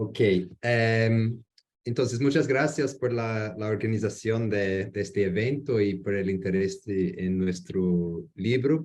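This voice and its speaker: Speaking very slowly at a medium pitch, a man talks with an English accent. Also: ordinary pitch variation. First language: English (speaking Spanish). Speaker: geography researcher. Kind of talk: academic presentation. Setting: video call. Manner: halting.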